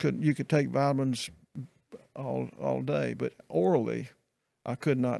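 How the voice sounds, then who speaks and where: A man with a Mississippi accent talks with long, frequent pauses. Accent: US Southern (Mississippi). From Mississippi, Meridian. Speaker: retired pastor. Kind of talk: casual interview chat. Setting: podcast, in person. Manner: halting.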